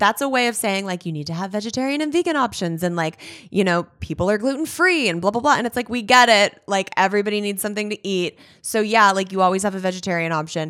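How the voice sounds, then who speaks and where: A woman with an American accent talks at a very fast pace. Her intonation is lively, and the recording is very clean with a silent background. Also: medium pitch for a woman. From US West Coast, Los Angeles area (California). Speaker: author. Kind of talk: casual interview chat.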